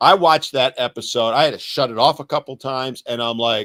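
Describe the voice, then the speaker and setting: An animated man comes through in a dry, close sound with no echo on a very clean recording with a silent background. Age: 60s. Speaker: podcast host discussing men's issues. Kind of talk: casual discussion. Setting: live stream.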